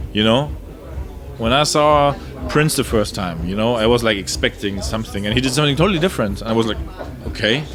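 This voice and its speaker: A man at a medium pitch with a German accent, very fast but broken by long, frequent pauses, with very wide pitch swings, audible room echo and noticeable background noise. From Germany. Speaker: electronic music producer and DJ. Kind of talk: interview. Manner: animated.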